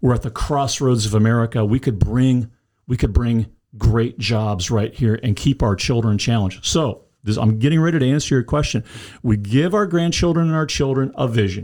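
Recorded very cleanly against a silent background, a man with a medium pitch and a dark, mellow tone speaks at a moderate pace with ordinary pitch variation. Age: 60s. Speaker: congressional candidate, retired civil engineer. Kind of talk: interview.

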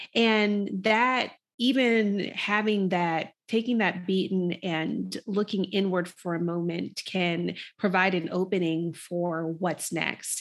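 A woman at a very slow pace, with fairly even intonation. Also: medium pitch for a woman. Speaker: executive coach and speaker. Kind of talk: casual chat.

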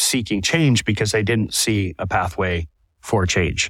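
Here is an ordinary speaking voice from a man with an American accent, pitched fairly low with ordinary pitch variation. The recording is very clean, with a silent background. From Southwest Florida. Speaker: fishing guide and nonprofit co-founder. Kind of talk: interview.

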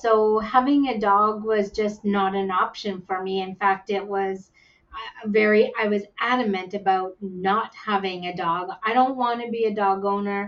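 Over noticeable background noise, a woman with a Canadian accent speaks at a fairly slow pace. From Yukon, Canada. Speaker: visually impaired guide dog user. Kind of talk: interview, personal story.

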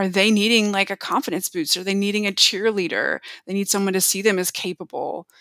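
In a dry, close recording with no echo, a woman with an American accent speaks very fast at medium pitch, her tone bright and sharp and her intonation monotone and flat. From US South. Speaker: mentoring trainer. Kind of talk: casual interview.

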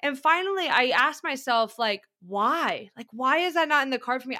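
A woman speaks in a raised, projected voice at a high pitch. Her tone is bright and sharp, her intonation lively, and her pace moderate. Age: 30s. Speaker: growth coach. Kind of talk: casual chat. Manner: animated.

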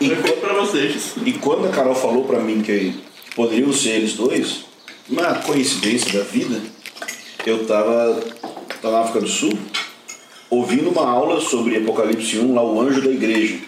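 A man at medium pitch and very even loudness, moderate in pace with long, frequent pauses, audible room echo and noticeable background noise. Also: ordinary pitch variation. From southern Brazil. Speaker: pastor and Bible course teacher. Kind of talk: casual chat. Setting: at the guests' home.

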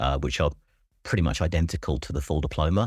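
On a very clean recording with a silent background, a man speaks in an English accent. His very deep, low voice carries vocal fry and ordinary pitch variation. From England. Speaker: school principal. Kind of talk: interview.

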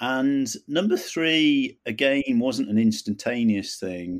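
Over a silent background in a very clean recording, a man with a southern English accent speaks at medium pitch with lively intonation. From England, near London. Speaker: retired army officer and qigong teacher. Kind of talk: interview testimony. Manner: halting, many fillers and repeats.

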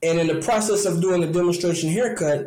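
A man with an American accent speaks in a high voice. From Detroit, Michigan. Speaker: barber and barber instructor, product maker. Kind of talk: interview, casual chat.

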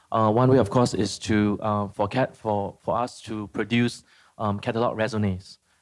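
On a very clean recording with a silent background, a man with a fairly low pitch speaks at a moderate pace. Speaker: museum curator. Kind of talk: moderated live conversation. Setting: stage with audience. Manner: hesitant.

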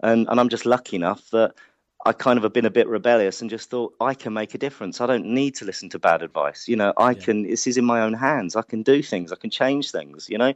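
Speaking at a very fast pace, a man has a medium pitch and a slight London accent. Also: ordinary pitch variation. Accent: London (Hackney), slight. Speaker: careers organisation founder. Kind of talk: casual interview.

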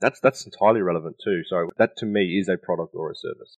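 A man speaks with an Australian accent. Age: 30s. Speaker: business strategy consultant and NFT advisor. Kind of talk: interview.

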